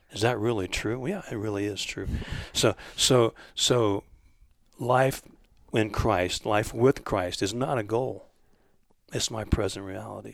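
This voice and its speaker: A man's fairly low voice with vocal fry, fairly even intonation, a fairly slow pace and long, frequent pauses, on a very clean recording with a silent background. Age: 60s. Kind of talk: casual religious discussion. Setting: home basement recording.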